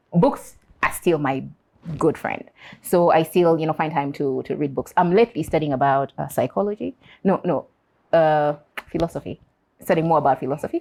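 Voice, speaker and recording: Speaking at a fairly quick pace but with long, frequent pauses, a woman uses a very deep, low voice with vocal fry and a dark, mellow tone. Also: ordinary pitch variation. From Uganda. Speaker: interview guest. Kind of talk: interview. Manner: hesitant, repeats words.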